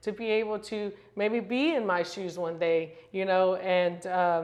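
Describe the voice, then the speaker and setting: The speaker is a woman. Her pitch is medium. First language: Spanish. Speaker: real estate broker. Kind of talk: casual interview chat. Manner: filler-heavy, conversational.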